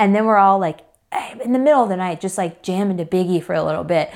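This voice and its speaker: A woman speaks very fast in an American accent, her medium pitch moving with ordinary variation. The recording is very clean, with a silent background. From US South, Atlanta, Georgia. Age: 20s. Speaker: thru hiker. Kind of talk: casual interview.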